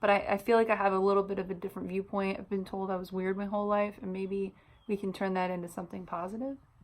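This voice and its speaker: A woman's very fast, monotone, flat speech at medium pitch, in a very clean recording with a silent background. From US Midwest, Illinois (Chicago suburbs). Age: 30s. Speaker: vlogger and hairstylist. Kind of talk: casual vlog introduction. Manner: many filler words.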